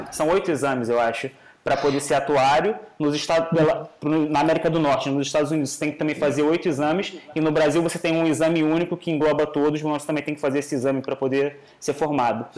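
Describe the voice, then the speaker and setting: Fairly even intonation carries speech delivered at a very fast pace. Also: man, fairly high pitch for a man. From Rio de Janeiro, Brazil. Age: 20s. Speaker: master's student in actuarial science. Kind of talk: casual interview.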